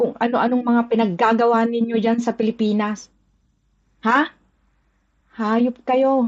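A woman's fairly high, monotone, flat voice at a fairly slow pace, with very even loudness and long, frequent pauses. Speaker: OFW ranting about politics. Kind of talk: angry rant. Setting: video rant from Hong Kong. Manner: furious, cursing, shouting.

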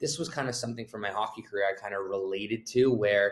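Speaking very fast, a man delivers his words. The intonation remains fairly even. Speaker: guest. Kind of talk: interview answer. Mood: reflective, earnest. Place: office. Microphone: video call.

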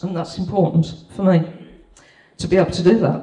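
In a Birmingham accent, a woman speaks with audible room echo. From Birmingham, England. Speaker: property investor. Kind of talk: testimonial presentation. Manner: halting. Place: hall.

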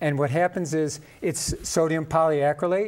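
At a moderate pace, a man speaks with fairly high pitch and fairly even intonation.

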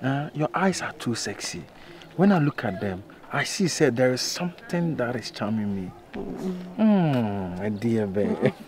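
A man's fairly slow speech, dry with no echo, over light background noise. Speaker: actor in comedy skit. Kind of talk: acted dialogue, flirting. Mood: flirtatious, persuasive. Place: street.

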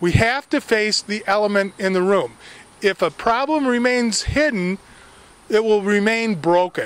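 The speaker has an American accent and talks at a fairly slow pace. The sound is dry with no echo. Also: man. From US West Coast, California. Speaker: local political campaigner. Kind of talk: political speech to camera. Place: garden. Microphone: handheld.

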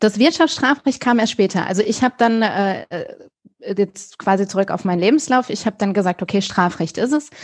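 Lively intonation at a moderate pace, somewhat breathy, in a very clean recording with a silent background and a dry, close sound with no echo. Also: woman, fairly high pitch for a woman. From Germany, raised bilingual with English. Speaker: criminal defence lawyer. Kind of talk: interview. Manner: casual, many fillers.

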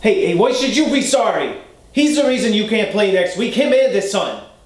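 A man with an American accent at an extremely high pitch, lively intonation, moderate pace and very even loudness, with audible room echo. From Boston area, USA. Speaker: character actor. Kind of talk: acting scene, self-tape. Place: home room.

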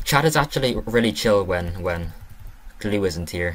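A man speaks with an Irish accent. His voice is very deep and low, with ordinary pitch variation. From Ireland. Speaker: gaming streamer. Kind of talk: live gameplay commentary. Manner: fast; animated.

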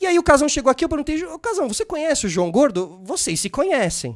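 Talking at a very fast pace with very wide pitch swings, a man is heard against a quiet background. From Brazil. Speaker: podcast host. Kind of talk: casual interview. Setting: studio. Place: studio. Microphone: studio mic.

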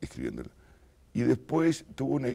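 A man speaks in a Montevideo accent. His tone is dark and mellow, over a quiet background. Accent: Rioplatense Spanish (Montevideo). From Uruguay, Montevideo; Uruguay. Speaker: writer; interviewee. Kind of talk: interview. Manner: halting, many fillers. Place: studio. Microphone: lapel.

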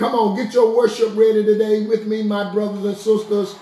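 A man's voice carries audible room echo against a quiet background. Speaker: pastor. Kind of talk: sermon-style introduction. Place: home room. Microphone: phone near.

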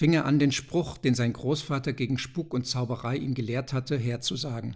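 A dramatic, somewhat breathy male voice at medium pitch, with fairly even intonation. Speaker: audiobook narrator. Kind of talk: ghost story reading aloud, tense narration. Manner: hushed, suspenseful, slow and deliberate; dramatic, building tension toward the door flying open.

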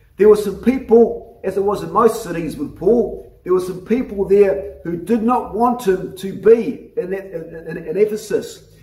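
Audible room echo surrounds a voice with a dark, mellow tone and ordinary pitch variation. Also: man.

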